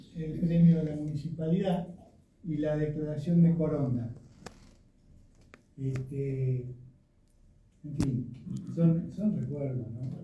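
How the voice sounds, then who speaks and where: A man's fairly high-pitched voice with a dark, mellow tone, very slow pace, ordinary pitch variation, and audible room echo. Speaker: speaker presenting a tribute to their writer father. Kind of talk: commemorative presentation with slides. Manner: hesitant, many fillers.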